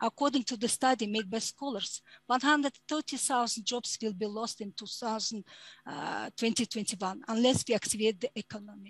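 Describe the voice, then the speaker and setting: A woman with a Mongolian accent sounds somewhat breathy, speaking at a fairly quick pace with ordinary pitch variation, in a dry sound with no echo and a quiet background. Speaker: human rights advocate; panelist. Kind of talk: conference presentation; prepared conference statement. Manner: halting. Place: home room. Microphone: headset.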